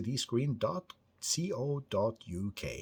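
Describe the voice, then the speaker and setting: On a very clean recording with a silent background, a somewhat breathy man speaks with lively intonation. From northern Norway. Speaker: tech hobbyist vlogger. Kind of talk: casual talk to camera. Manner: halting, many repeated words.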